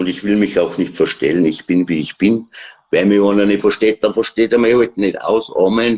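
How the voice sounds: A man with a Bavarian accent speaks at a fairly low pitch. His pace is moderate and his intonation fairly even.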